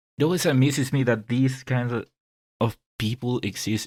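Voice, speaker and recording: The pitch varies in an ordinary way, and the sound is dry and close with no echo. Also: man. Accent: non-native. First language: not English. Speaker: video game podcast co-host. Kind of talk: casual podcast discussion. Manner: halting.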